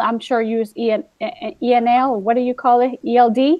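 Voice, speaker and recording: A woman with a Spanish accent speaks at a moderate pace in a high voice. Her pitch varies in an ordinary way. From Guatemala. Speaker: teacher. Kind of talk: casual chat. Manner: animated.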